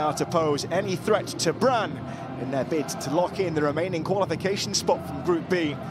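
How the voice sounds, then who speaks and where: Noticeable background noise behind a man with a fairly high voice. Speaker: football commentator. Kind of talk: live match commentary. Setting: match broadcast. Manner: clipped, urgent calls.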